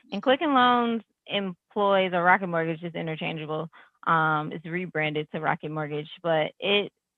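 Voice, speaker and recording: A woman with a fairly low pitch, ordinary pitch variation, and a moderate pace. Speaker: tech leader and entrepreneur. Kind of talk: webinar panel answer.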